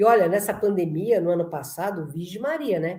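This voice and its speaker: A woman speaks with a dark, mellow tone and a somewhat breathy voice. Audible room echo surrounds her. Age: 60s. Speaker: lecturer on spirituality. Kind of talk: conference talk. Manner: animated.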